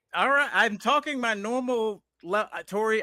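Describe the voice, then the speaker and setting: A man speaks at a very slow pace in a raised, projected voice with a bright, sharp tone, the sound dry and close with no echo. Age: 50s. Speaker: comedian. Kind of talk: casual chat. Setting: live stream.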